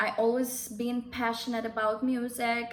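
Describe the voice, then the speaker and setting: Against noticeable background noise, a woman talks at a moderate pace with a fairly high pitch and monotone, flat intonation. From Russia. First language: Russian. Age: 20s. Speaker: vlogger. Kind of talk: casual vlog monologue.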